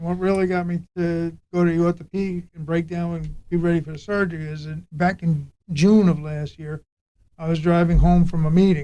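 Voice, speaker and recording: A man speaks at a moderate pace in a high voice with a dark, mellow tone. His intonation stays flat and monotone. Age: 60s. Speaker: patient giving testimony, retired law enforcement officer. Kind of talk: casual interview testimony. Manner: halting.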